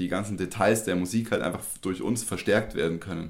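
A man talks in a fairly low voice. His intonation is fairly even. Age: 30s. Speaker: stage designer. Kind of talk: interview.

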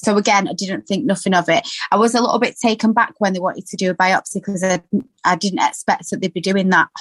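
Speaking at a very fast pace, a woman uses fairly even intonation in a somewhat breathy voice at a medium pitch. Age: 20s. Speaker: cancer patient, new mother, student nurse. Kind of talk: personal testimony in interview.

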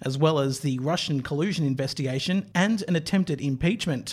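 A man speaks in a fairly high pitch with an Australian accent, at a moderate pace and with ordinary pitch variation. The recording is very clean, with a silent background. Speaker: news podcast host. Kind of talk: interview; scripted narration.

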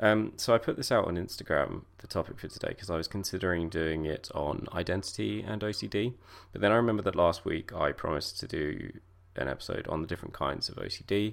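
On a very clean recording with a silent background, a man with a very deep, low pitch and vocal fry speaks at a very fast pace with ordinary pitch variation. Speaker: podcast host sharing lived experience of OCD. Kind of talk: solo monologue podcast. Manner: hesitant, many fillers.

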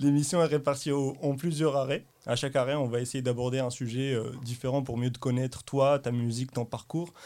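Fairly even intonation and a moderate pace in an ordinary speaking voice. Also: man, medium pitch for a man. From Morocco. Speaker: podcast host. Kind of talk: casual chat.

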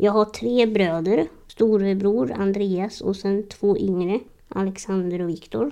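Speaking very slowly, a woman has a medium-pitched, dark and mellow tone with ordinary pitch variation. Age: 30s. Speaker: podcast host. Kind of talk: personal monologue.

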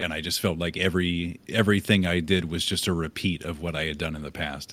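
At a fairly quick pace, a man talks with a very deep, low pitch. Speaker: streamer. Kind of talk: casual chat.

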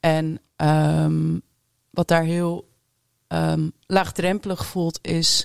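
A woman talks at a very slow pace. The sound is dry and close, with no echo. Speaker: music venue marketer and DJ. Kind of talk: panel discussion. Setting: studio.

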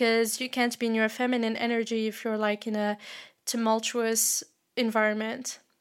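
A woman's fairly high voice holds a monotone, flat intonation. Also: moderate pace. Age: 20s. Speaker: podcast host. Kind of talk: casual advice monologue.

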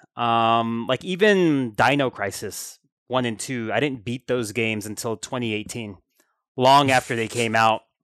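A man with an American accent talks at a fairly slow pace in an unremarkable speaking voice, medium in pitch with ordinary pitch variation. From United States. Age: 30s. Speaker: author and game industry businessman. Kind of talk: casual interview.

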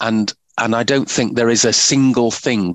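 A man with a plain, everyday voice speaks in fairly even intonation, the sound dry and close with no echo. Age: 60s. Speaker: medical professor. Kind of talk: interview.

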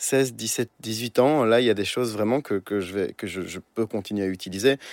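A man speaks at a fairly quick pace with ordinary pitch variation. The sound is dry and close with no echo, on a very clean recording with a silent background. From Belgium, Brussels. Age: 20s. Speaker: musician. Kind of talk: interview. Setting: studio in Paris. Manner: halting.

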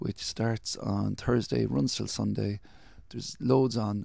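The speaker talks in a Cork accent at a fairly slow pace. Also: man. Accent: Cork Irish. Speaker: podcast host. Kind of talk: casual chat.

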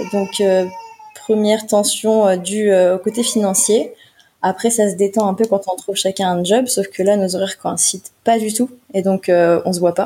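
Fairly slow, fairly even speech from a woman at a medium pitch. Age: 20s. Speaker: single mother sharing her story. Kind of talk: personal testimony interview. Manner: halting.

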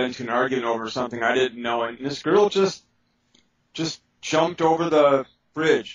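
Ordinary pitch variation with an American accent. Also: man. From Milwaukee, Wisconsin, US Midwest. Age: 50s. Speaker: psychic spirit clearer and author. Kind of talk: interview. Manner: halting, many fillers.

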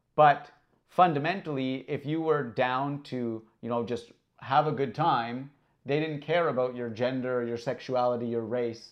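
A man with a plain, everyday voice, medium pitch, fairly even intonation and a fairly slow pace. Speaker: podcast host. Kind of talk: casual chat.

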